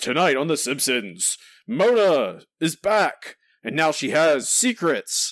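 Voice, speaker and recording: Putting on a character voice, a man speaks at a fairly slow pace with a fairly high pitch and very wide pitch swings. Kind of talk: broadcast announcer style. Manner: dramatic, teasing.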